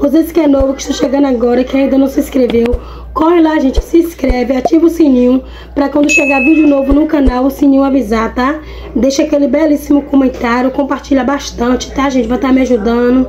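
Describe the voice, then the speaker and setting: A woman at a high pitch and a very fast pace, with noticeable background noise. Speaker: home vlogger. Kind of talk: casual vlog chat. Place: home room. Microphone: phone near.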